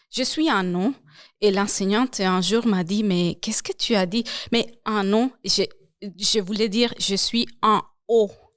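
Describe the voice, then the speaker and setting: In a very clean recording with a silent background, a woman speaks at a very slow pace with a Spanish accent. Her pitch is fairly high and her intonation fairly even. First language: Spanish (speaking French). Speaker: language program coordinator. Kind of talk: interview.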